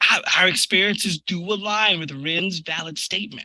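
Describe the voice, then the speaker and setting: A man puts on a character voice pitched high for a man. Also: moderate pace. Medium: audio drama. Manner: stammering, formal robotic phrasing.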